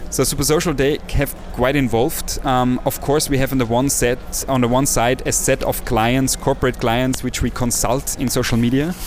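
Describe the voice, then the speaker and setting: With music in the background, a man talks in a monotone, flat intonation at very even loudness, with hardly any pauses. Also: medium pitch for a man, moderate pace. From Austria, villages near Salzburg. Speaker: social entrepreneur and agency CEO. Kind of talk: interview.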